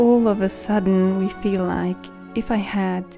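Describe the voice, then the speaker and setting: Over music in the background, a woman speaks at a medium pitch and a fairly slow pace, her soothing tone showing ordinary pitch variation. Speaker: voice over artist. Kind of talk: calm reflective vlog narration. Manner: soft, soothing, slow.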